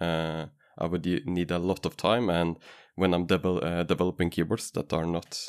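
Dry, close sound with no echo and a very clean recording with a silent background carry a man with a Norwegian accent and a very deep, low pitch speaking at a moderate pace. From Norway. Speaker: keyboard maker and vendor. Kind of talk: interview.

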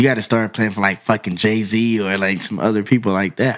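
With an American accent, a man in an ordinary speaking voice talks at a fairly quick pace with fairly even intonation on a very clean recording with a silent background. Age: 30s. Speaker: touring drummer. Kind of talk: casual chat. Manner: laughs often.

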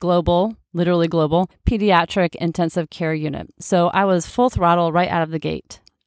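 A woman's medium-pitched, ordinary speaking voice at a fairly quick pace, dry and close with no echo, in a very clean recording with a silent background. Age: 40s. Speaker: nurse practitioner and health coach podcast host. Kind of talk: solo podcast monologue.

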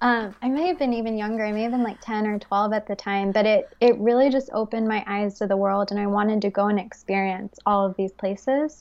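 With an American accent, a woman in an ordinary speaking voice talks at a fairly quick pace and a fairly high pitch. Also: fairly even intonation. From Texas (Fort Worth), summers in the UK. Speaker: wellness entrepreneur. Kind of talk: casual interview conversation.

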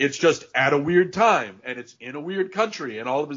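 Speaking with a Northeastern US accent, a man uses a fairly high pitch and very wide pitch swings at a moderate pace. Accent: American (Northeast). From Connecticut, US. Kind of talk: casual chat.

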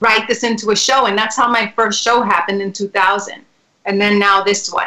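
With a New York accent, a woman speaks at a moderate pace in a bright, sharp tone, medium in pitch with fairly even intonation. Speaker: singer and actress. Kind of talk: casual interview chat.

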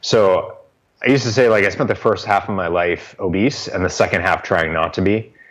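A man with an American accent and an ordinary speaking voice talks at a fairly quick pace. His pitch is fairly low, with ordinary variation. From Boston. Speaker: author and life coach. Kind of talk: interview.

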